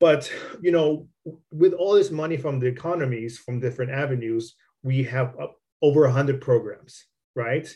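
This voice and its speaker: Somewhat breathy and dark, mellow in tone, the voice carries an American accent with ordinary pitch variation. Long, frequent pauses break up the speech. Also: man, fairly high pitch for a man, moderate pace. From Southern California. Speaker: podcast host. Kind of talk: interview. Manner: halting.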